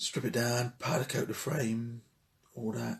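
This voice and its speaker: A somewhat breathy man's voice of medium pitch. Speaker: motorcycle restoration vlogger. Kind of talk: casual workshop vlog. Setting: shed.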